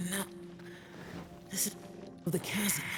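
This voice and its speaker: A put-on character voice at middle pitch carries a weary tone over clear background noise. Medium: video game. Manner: terse, weary, sighing.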